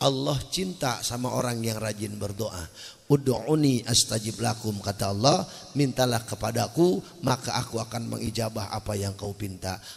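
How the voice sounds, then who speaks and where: In an animated tone, a man with a medium pitch speaks at a moderate pace, his somewhat breathy voice showing ordinary pitch variation. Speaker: Islamic preacher. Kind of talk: sermon. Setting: stage with audience.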